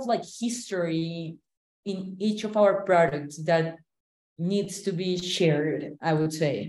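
With a Colombian accent, a woman speaks at a very slow pace in a dark, mellow tone with ordinary pitch variation. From Cali, Colombia. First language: Spanish. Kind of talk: interview conversation.

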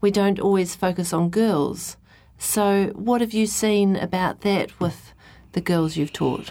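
A woman with a New Zealand accent talks at a fairly slow pace. Her intonation is fairly even and her loudness very even. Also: medium pitch for a woman, very clean recording, silent background. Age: 40s. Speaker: radio host. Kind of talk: interview.

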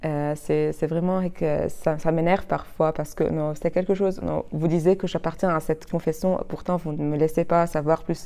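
A woman talks with hardly any pauses in a monotone, flat intonation. Her voice is fairly low in pitch and dark and mellow in tone. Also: moderate pace. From Lebanon, Chouf region. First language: Arabic (speaking French). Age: 20s. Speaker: law student. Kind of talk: interview. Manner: halting, many repetitions.

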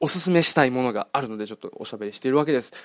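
Intonation rises and falls in a lively way. Behind it, the recording is very clean and the background silent. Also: man. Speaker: podcast host. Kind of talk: casual solo monologue. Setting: recording late at night, 2:23 am. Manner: rambling with many fillers.

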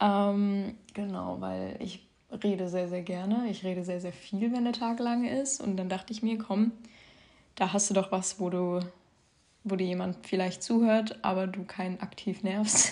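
A woman speaks at a fairly slow pace and medium pitch, her tone dark and mellow and her intonation fairly even. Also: quiet background. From southern Hesse, Germany. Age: young. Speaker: podcast host sharing eating disorder recovery. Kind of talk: casual monologue. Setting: home, her bedroom. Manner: spontaneous, unscripted with many fillers.

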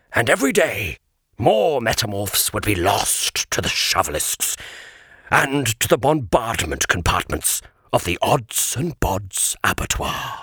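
A man performs a put-on character voice with very wide pitch swings. He speaks at a fairly slow pace, and the sound is dry and close with no echo. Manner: solemn, sorrowful.

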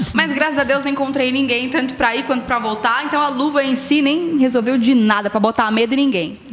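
With hardly any pauses, a woman talks at a fairly quick pace in a high pitch, her pitch variation ordinary, over noticeable background noise and audible room echo. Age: 30s. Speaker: radio announcer. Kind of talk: casual chat. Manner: talkative, radio-announcer delivery.

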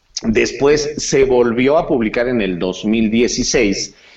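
A man with a Mexican accent, lively intonation and a very slow pace. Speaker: insurance agent. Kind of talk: casual chat.

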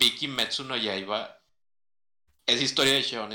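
This man's voice has a bright, sharp tone. He speaks at a fairly slow pace. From Mexico. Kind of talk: casual chat.

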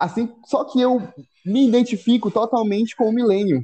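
A man's dark, mellow voice comes through dry and close, with no echo. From Brazil, Belém (Pará). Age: 20s. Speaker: podcast host. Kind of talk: casual chat. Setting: home kitchen.

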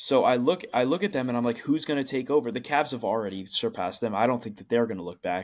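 A man of medium pitch at a very fast pace with hardly any pauses and lively intonation, on a very clean recording with a silent background. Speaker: podcast host. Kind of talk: casual chat.

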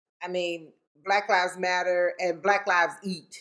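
A woman speaks at a fairly slow pace in a normal speaking voice. Her pitch is medium. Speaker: podcast co-host, mother. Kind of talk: casual chat.

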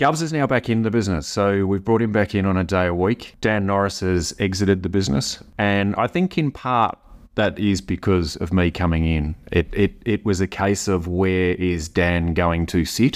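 A man with an Australian accent and a very deep, low pitch, at a moderate pace with hardly any pauses and very even loudness, against a quiet background. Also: ordinary pitch variation. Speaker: brewery CEO. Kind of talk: interview. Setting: on location.

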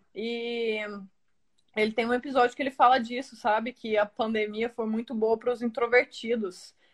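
A woman's fairly high voice, monotone and flat in intonation, at a moderate pace. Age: 20s. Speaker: model. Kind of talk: casual chat. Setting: video call.

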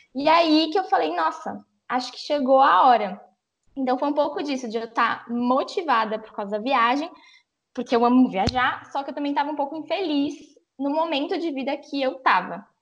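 A woman with a high pitch talks at a moderate pace, her intonation lively and her loudness swinging widely. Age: 20s. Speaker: travel influencer. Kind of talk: casual chat.

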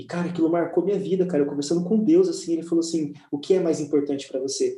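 The man's voice is pitched high. Its tone comes across dark and mellow. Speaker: church leader. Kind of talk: casual chat. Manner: animated.

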